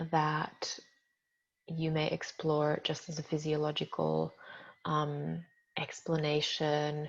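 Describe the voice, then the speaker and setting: At a very slow pace with long, frequent pauses, a woman speaks in a very deep, low-pitched voice with a calm tone and monotone, flat intonation against a quiet background. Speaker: workshop teacher. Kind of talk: lecture.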